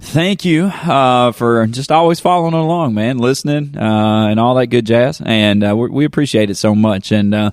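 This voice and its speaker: Speaking with a strong Southern US accent, a man at medium pitch uses lively intonation, hardly any pauses and very even loudness. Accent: strong southern drawl. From Kentucky. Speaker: podcast host. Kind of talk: casual chat. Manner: animated.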